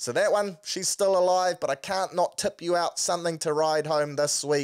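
A man with a New Zealand accent talks at a moderate pace in a high pitch, with ordinary pitch variation, against a quiet background. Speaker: sports podcast host. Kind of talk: casual sports talk. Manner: animated. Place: home room. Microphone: studio mic.

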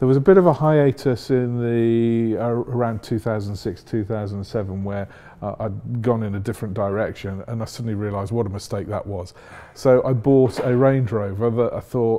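A man speaks at a moderate pace, his pitch varying by an ordinary amount. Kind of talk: interview answer. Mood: warm, enthusiastic. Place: workshop. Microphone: lapel.

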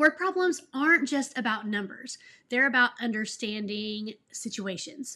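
Speaking with an American accent, a woman has a bright, sharp tone and lively intonation. Her pace is fairly slow. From Texas. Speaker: elementary school teacher, education YouTuber. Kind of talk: tutorial. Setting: home office. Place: home room.

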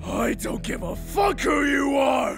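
A man's cartoonish character voice, extremely high-pitched and shouting, with vocal fry, lively intonation, a slow pace and faint music in the background. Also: fairly bright tone.

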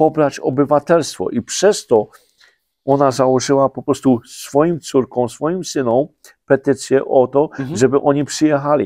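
The voice has a dark, mellow tone and fairly even intonation at a fairly slow pace. The sound is dry with no echo, against a quiet background. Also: man. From Poland, Podhale highlands; Poland. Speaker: president of a highlander association; guest. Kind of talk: interview. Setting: studio. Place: studio.

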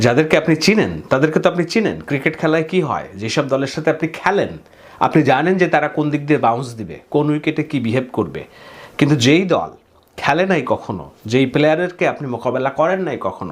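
Using vocal fry, a man speaks at a fairly high pitch with ordinary pitch variation. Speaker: political commentator. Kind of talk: political commentary.

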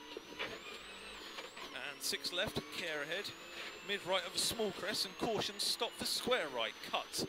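Over loud background noise, a man talks in a high pitch at a very slow pace, the sound dry with no echo. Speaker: rally co-driver. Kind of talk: pace note calling. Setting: in a rally car on a stage, intercom. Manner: calm, encouraging with bursts of excitement near the finish. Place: car. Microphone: helmet.

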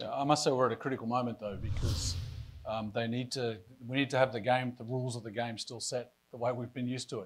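Talking at a very fast pace, a man with an Australian accent keeps a fairly even intonation. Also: medium pitch for a man. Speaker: pension fund board chair; panelist. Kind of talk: panel discussion. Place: hall. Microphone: lapel.

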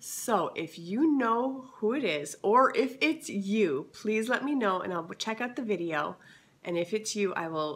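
A woman speaks with very wide pitch swings. Noticeable background noise runs under her voice. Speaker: lifestyle vlogger. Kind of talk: casual haul video.

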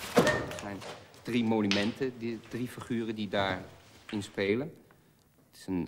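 A man's fairly low voice with a fairly bright tone, ordinary pitch variation and a fairly slow pace.

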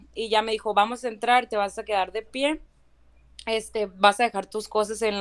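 A woman speaks at a moderate pace with a fairly high pitch. Hers is a normal speaking voice. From Valle de Guadalupe, Ensenada, Baja California, Mexico. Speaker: citizenship applicant. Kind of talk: testimony. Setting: live stream.

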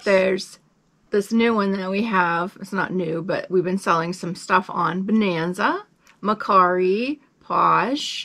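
In an American accent, a woman speaks with a bright, sharp tone at a fairly slow pace against a quiet background. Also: fairly even intonation, big swings in loudness. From US Midwest (Lincoln, Nebraska); Nebraska. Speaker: reseller, video channel co-host. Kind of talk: casual chat. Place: home room. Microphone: phone near.

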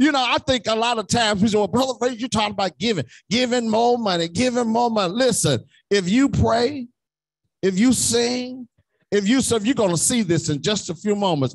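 Over a quiet background, a man talks at a fairly quick pace with a high pitch and ordinary pitch variation. His loudness is very even, and the sound is dry with no echo. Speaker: preacher. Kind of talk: sermon. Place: church. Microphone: podium.

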